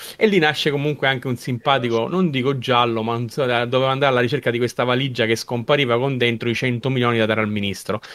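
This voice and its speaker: A man with a medium-pitched voice and fairly even intonation rushes along very fast. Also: hardly any pauses. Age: 50s. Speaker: podcast co-host, film fan. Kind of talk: casual chat.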